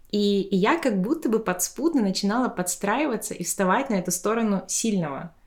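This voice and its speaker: Hardly pausing at all, a woman at medium pitch keeps a moderate pace and lively intonation on a very clean recording with a silent background. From Tuva, Russia. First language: Tuvan (speaking Russian). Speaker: podcast host. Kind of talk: casual chat. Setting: at a friend's home.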